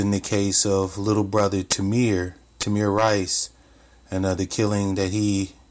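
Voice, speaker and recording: A man with a fairly low pitch speaks in a monotone, flat intonation at a fairly slow pace, on a very clean recording with a silent background. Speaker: commentary vlogger. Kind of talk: spoken commentary, unscripted. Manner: hesitant, with pauses.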